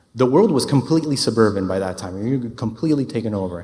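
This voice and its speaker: A very fast man's voice at a medium pitch, with audible room echo. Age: 30s. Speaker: urban planner. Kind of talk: conference talk.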